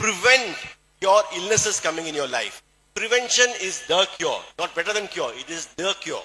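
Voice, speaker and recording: A man with a Keralan accent speaks in a raised, projected voice. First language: Malayalam. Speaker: plastic surgeon and network marketing speaker. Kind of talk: motivational health talk to audience. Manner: halting, with frequent fillers.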